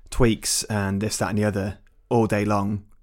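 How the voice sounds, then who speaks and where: A man speaks in a plain, everyday voice at a fairly low pitch and moderate pace. The recording is very clean with a silent background. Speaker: podcast host. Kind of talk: casual football chat.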